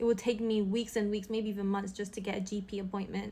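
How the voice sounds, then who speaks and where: Speaking with a British accent, a woman uses an animated tone. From London, England. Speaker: social media creator. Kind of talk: opinion monologue.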